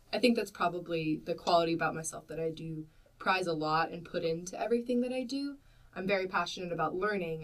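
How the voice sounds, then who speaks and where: In an American accent, a woman talks at a very fast pace, her fairly low pitch varying in an ordinary way. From US South (Mississippi) and Vermont. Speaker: journal managing editor, graduate student. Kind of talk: casual chat.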